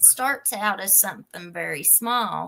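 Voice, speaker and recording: A woman's fairly high voice in an Appalachian accent at a moderate pace. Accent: Appalachian Kentucky. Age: 40s. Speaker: youtube crime channel host. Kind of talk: live stream chat. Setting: live stream.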